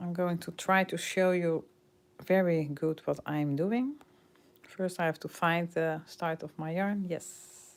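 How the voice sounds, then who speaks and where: Speaking very slowly with a Dutch accent and fairly even intonation, a woman comes through in a very clean recording with a silent background. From Netherlands. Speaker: crochet teacher. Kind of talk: tutorial. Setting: livestream. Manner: halting.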